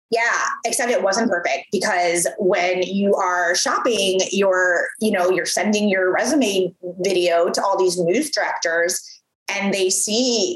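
A woman with an American accent speaks fairly slowly at a medium pitch. She has a normal speaking voice. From US Midwest. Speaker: entrepreneur, former TV presenter. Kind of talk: interview, casual chat.

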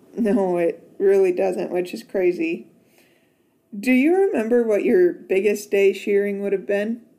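Fairly slow delivery in an unremarkable speaking voice, its pitch varying in an ordinary way. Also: woman, medium pitch for a woman. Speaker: podcast host. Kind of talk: casual interview with grandparents. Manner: friendly, warm, laughing.

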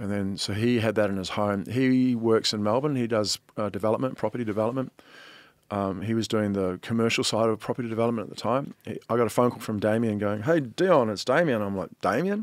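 A man with a New Zealand accent talks at a fairly quick pace in a very clean recording with a silent background. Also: medium pitch for a man, ordinary pitch variation. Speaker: artist. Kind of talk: casual chat.

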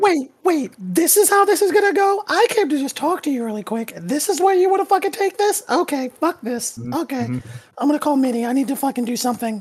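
A put-on character voice, high in pitch, at a fairly quick pace. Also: hardly any pauses. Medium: actual play. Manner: angry, exasperated, profane.

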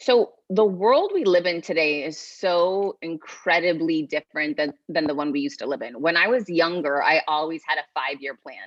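A woman speaks in a normal speaking voice, fairly low in pitch, with lively intonation. Her pace is moderate, with hardly any pauses and big swings in loudness. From Massachusetts (Worcester). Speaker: author and executive coach. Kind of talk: interview.

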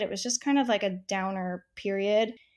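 In a very clean recording with a silent background, a woman talks at a medium pitch with fairly even intonation. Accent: American. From US West Coast, San Diego. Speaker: personal stylist. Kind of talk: casual chat.

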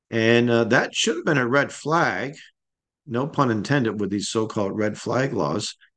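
A man speaks at a moderate pace in a medium pitch, with ordinary pitch variation over a quiet background. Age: 60s. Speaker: radio talk show host. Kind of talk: solo radio commentary. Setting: radio studio. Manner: halting, many fillers.

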